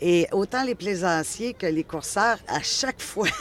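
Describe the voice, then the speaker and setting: A woman speaks with a Quebec accent and ordinary pitch variation. Noticeable background noise runs beneath her voice. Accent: Québécois. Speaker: interviewer. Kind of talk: interview.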